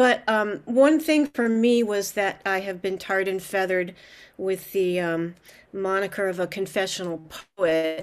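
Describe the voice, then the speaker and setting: A woman at a fairly slow pace with ordinary pitch variation. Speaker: poet. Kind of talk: poetry reading and panel discussion. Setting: video call. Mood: reflective, wry. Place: home room.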